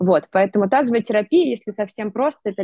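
A woman's pitch varies in an ordinary way as she talks fairly quickly. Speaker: pelvic physical therapist and entrepreneur. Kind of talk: interview. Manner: animated.

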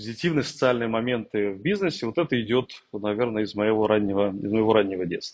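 Moving at a fairly quick pace, a man uses a normal speaking voice with ordinary pitch variation. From Russia, Tambov. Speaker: corporate executive. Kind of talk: interview.

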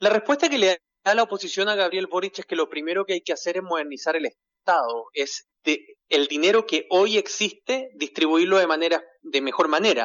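With a Chilean accent, a man speaks at a moderate pace and high pitch, his intonation lively and his speech with hardly any pauses. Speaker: journalist. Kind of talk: phone interview.

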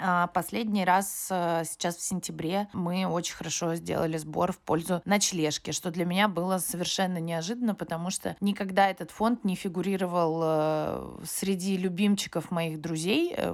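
In a normal speaking voice, a woman with a fairly low pitch talks at a moderate pace with fairly even intonation and hardly any pauses. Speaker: freelance makeup artist and fundraiser. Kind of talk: recorded voice message testimony.

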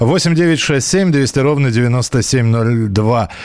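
A man's speech is accompanied by noticeable noise in the background. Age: 40s. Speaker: radio host. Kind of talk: live call-in radio show. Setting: radio studio. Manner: conversational, hesitant fillers.

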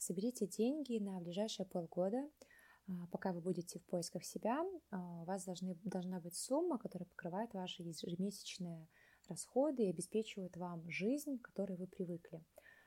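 A woman speaks at a medium pitch with a dark, mellow tone and a somewhat breathy quality. Her pace is moderate and her pitch varies in an ordinary way. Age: 20s. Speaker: artist. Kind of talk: personal story.

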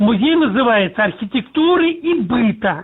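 Very slowly and with lively intonation, a man speaks at an extremely high pitch. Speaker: museum director. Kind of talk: interview.

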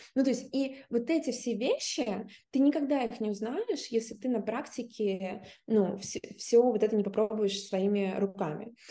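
A woman talks at a moderate pace in a dark, mellow tone. Her pitch is fairly high, with ordinary variation. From Russia. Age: 30s. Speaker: theatre director and film student. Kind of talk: interview.

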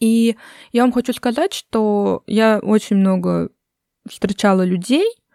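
A very slow, dark, mellow voice with ordinary pitch variation, in a dry, close sound with no echo and a very clean recording with a silent background. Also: woman. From Russia. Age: 20s. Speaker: podcast host. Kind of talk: casual chat.

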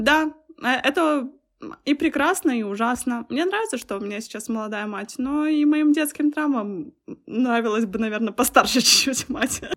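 A woman at high pitch, with lively intonation and a moderate pace. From Belarus. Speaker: visual effects artist and designer. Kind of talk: casual chat.

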